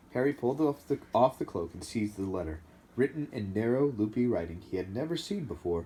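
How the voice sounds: Someone reads in a natural reading voice. The intonation is lively.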